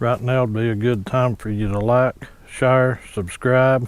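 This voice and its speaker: A man speaks quietly at a fairly slow pace, his intonation monotone and flat. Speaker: hunting channel host. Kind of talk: product unboxing tutorial. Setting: outdoors at a hunting ladder stand. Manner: quiet low talking.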